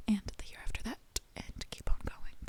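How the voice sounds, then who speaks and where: A woman whispers in a gentle tone. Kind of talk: gentle book reading for relaxation. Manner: soft-spoken, gentle.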